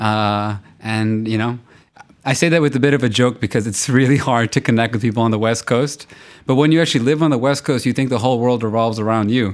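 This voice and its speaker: At a very fast pace, a man speaks in a medium pitch with fairly even intonation. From US, central New Jersey. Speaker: tech entrepreneur. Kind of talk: interview.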